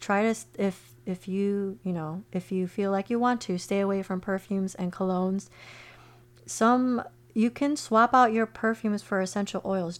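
A woman's medium-pitched voice at a moderate pace with ordinary pitch variation. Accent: American. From Chicago, US Midwest. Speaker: podcast host, holistic health coach. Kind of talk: solo podcast monologue. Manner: casual, halting with self-corrections.

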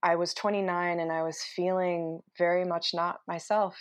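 A woman with an American accent speaks at a fairly slow pace. Her voice sits fairly low, and the background is quiet. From Utah. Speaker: entrepreneur. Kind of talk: interview. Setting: home office.

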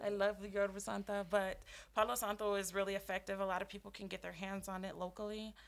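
At a fairly quick pace, a woman with an American accent speaks in a medium pitch. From Colorado. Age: 20s. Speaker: holistic healer and Reiki practitioner. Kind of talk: casual chat. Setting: studio at a dispensary.

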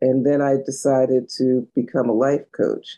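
The tone is dark and mellow. The pace is fairly slow. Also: woman. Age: 60s. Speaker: business and money coach. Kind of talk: interview. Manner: energetic.

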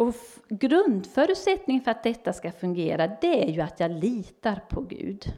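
A woman's dark, mellow tone with very wide pitch swings at a moderate pace. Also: fairly high pitch for a woman. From Sweden, Helsingborg (Skåne). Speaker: church speaker and small publisher. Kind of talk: talk to a church group.

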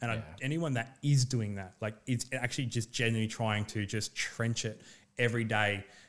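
Against a silent background on a very clean recording, the speech moves at a moderate pace with fairly even intonation. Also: man, medium pitch for a man. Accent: Australian. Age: 30s. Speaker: real estate agent and former fighter. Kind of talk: casual chat.

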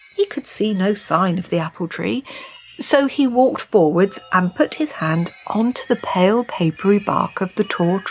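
Lively intonation carries through a natural reading voice.

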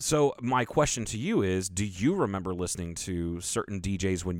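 A man speaks in a very deep, low voice. His pace is moderate. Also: very clean recording, silent background. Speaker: podcast co-host. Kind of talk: casual chat. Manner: animated.

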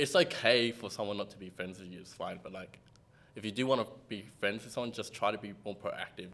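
Here is a man with a normal speaking voice, fairly low in pitch with ordinary pitch variation. He talks at a fairly quick pace, and his loudness swings widely. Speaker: computer science student. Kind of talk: casual chat.

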